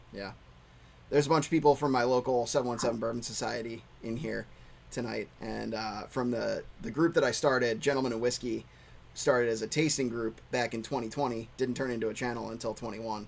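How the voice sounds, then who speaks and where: A man with an American accent talks at a fairly quick pace in an unremarkable speaking voice. His pitch is medium and his intonation fairly even. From Pennsylvania, US. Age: 30s. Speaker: whiskey channel host. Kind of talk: casual chat.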